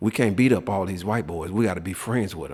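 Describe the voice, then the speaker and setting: Speaking with an American accent, a man has a fairly low pitch. He moves at a fairly quick pace with ordinary pitch variation. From US South, South Memphis, Tennessee. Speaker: prison inmate telling his life story. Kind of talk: interview testimony. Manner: halting, many repeated words.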